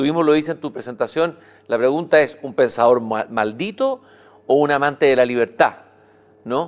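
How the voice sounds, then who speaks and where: A man with an unremarkable speaking voice, fairly high-pitched, moderate in pace, with ordinary pitch variation. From Chile. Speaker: interviewer. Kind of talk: interview. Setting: live event in a hall. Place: stage. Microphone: lapel.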